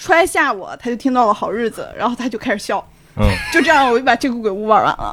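Noticeable background noise sits behind a woman speaking at a very fast pace. Her pitch is high. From Xi'an, Shaanxi, China. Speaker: theatre venue staff, podcast guest. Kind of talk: casual chat.

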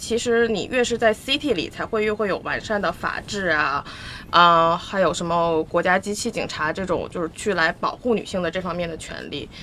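At a moderate pace, a woman speaks with lively intonation in an ordinary speaking voice. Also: hardly any pauses. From Northeast China. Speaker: podcast guest. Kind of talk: casual chat.

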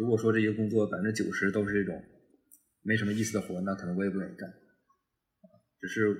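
This man's voice is fairly low and somewhat breathy, with a monotone, flat intonation. He talks at a very fast pace, broken by long, frequent pauses. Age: 20s. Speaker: product manager. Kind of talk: casual chat.

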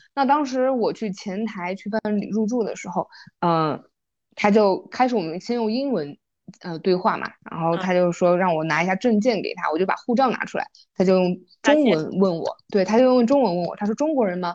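Against a quiet background, a woman at medium pitch speaks at a fairly quick pace with lively intonation. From Yunnan, Mangshi (Dehong). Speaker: podcast co-host. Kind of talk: casual chat. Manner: animated storytelling.

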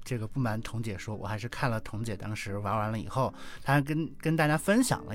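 This man has a plain, everyday voice, pitched fairly low. He talks at a fairly quick pace. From Northeast China. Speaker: visually impaired board game player. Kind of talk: casual chat.

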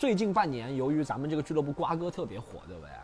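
A man speaks at a very fast pace. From Shanghai. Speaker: stand-up comedian. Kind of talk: casual chat. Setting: outdoors in the rain.

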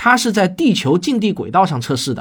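A fairly bright tone with big pitch swings at a fairly quick pace, on a very clean recording with a silent background. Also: man, high pitch for a man.

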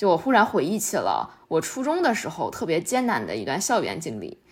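A woman speaks at a moderate pace and medium pitch with lively intonation. Hers is a plain, everyday voice. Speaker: podcast host. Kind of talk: casual chat.

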